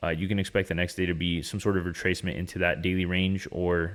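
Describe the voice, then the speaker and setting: Speaking at a very fast pace in an animated tone, a man with very deep, low pitch comes through on a very clean recording with a silent background. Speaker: day trader and trading educator. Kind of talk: market recap tutorial. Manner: casual, animated.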